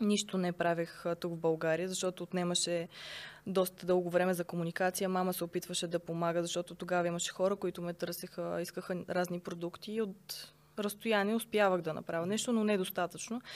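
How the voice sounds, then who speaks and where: A woman talks at a fairly quick pace with a fairly low pitch and monotone, flat intonation. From Bulgaria, Sofia. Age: 20s. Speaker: online shop owner. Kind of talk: interview.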